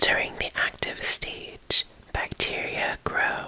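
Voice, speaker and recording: A woman's very slow whispering amid noticeable background noise. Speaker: ASMR creator. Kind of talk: ASMR textbook reading. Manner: whispered.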